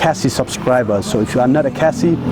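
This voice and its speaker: Music plays in the background as a man with a Meghalaya accent speaks with ordinary pitch variation. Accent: Khasi-accented English. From Meghalaya, India (Khasi). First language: Khasi. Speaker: vlogger. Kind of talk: casual vlog talk. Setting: outdoors on a morning walk.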